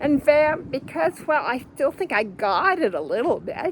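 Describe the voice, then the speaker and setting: High-pitched woman's voice with very wide pitch swings at a fairly slow pace, over noticeable background noise. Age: 70s. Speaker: vlogger living on the road. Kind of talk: casual monologue vlog. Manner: halting, self-correcting.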